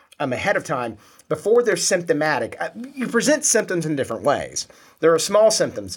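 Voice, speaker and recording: His pitch swings very widely, and vocal fry is present. The man keeps a fairly quick pace. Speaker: podcast host. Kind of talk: casual interview chat.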